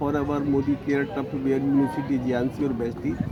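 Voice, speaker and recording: A man's voice comes through over noticeable background noise. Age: 60s. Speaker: network marketing distributor. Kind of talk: interview. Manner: animated.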